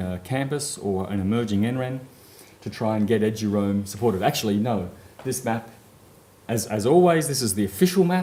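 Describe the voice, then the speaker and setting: A man at a moderate pace, with audible room echo. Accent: Australian. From Australia. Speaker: conference speaker, network services manager. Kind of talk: conference presentation. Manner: frequent fillers, um and uh.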